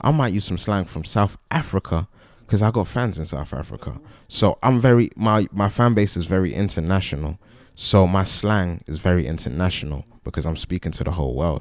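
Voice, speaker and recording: A man with a very deep, low pitch speaks at a fairly quick pace with lively intonation. The recording is very clean, with a silent background. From West London, England. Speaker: rapper. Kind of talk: casual interview.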